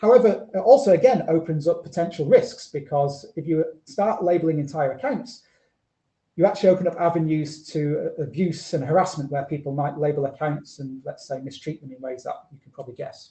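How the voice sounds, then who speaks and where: A fairly high-pitched man with a northern British accent, a dark, mellow tone, ordinary pitch variation, big swings in loudness and a fairly quick pace. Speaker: researcher presenting a talk. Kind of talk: conference presentation. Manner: fast.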